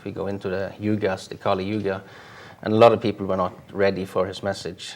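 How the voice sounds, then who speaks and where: A man talks at a fairly low pitch in a flat, monotone way. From Norway. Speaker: spiritual author and yoga teacher. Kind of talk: interview. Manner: halting, many fillers.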